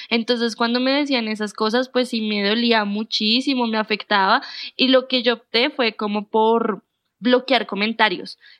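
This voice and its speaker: A woman's fairly high voice at a fairly slow pace, with monotone, flat intonation. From Colombia, Bogotá. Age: 20s. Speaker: booktuber and journalist. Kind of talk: casual interview chat.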